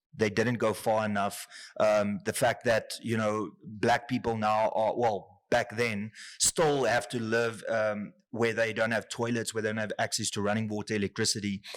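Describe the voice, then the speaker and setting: A man with a South African accent speaks at a moderate pace and a medium pitch. His intonation is monotone and flat, in a very clean recording with a silent background. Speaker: politician and YouTuber. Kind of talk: interview.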